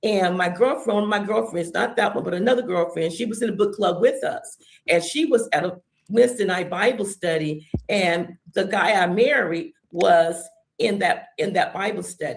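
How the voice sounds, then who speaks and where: With lively intonation and a moderate pace, this is a plain, everyday voice. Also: woman, medium pitch for a woman. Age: 60s. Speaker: church member sharing testimony. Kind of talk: testimony.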